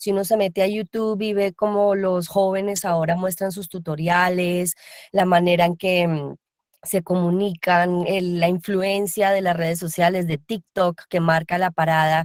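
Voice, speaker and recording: In a dry, close recording with no echo, a woman at medium pitch speaks fairly slowly in a monotone, flat intonation. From Colombia. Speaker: voice actor. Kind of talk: panel discussion. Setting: video call.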